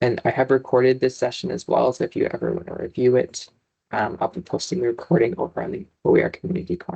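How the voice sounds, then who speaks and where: Talking at a very fast pace, a man uses very wide pitch swings and vocal fry in a dark, mellow tone. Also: medium pitch for a man. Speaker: librarian presenting a webinar. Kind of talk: online presentation.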